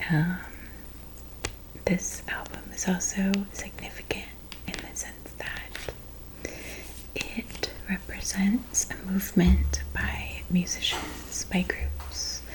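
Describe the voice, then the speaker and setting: Whispering softly at a very slow pace, the speaker leaves long, frequent pauses amid noticeable background noise. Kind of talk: ASMR show-and-tell. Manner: soft-spoken, whispered.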